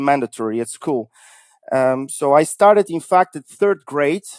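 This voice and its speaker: The speaker has a Bulgarian accent and talks at a moderate pace with ordinary pitch variation. The sound is dry and close, with no echo. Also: man. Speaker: cybersecurity consultancy founder. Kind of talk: interview podcast.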